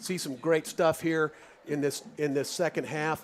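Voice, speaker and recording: A man speaks at a moderate pace with a fairly high pitch and fairly even intonation. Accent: Midwestern US. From Kansas, Lawrence. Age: 50s. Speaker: radio sports commentator. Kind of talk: live radio sports commentary chat. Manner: halting, many restarts.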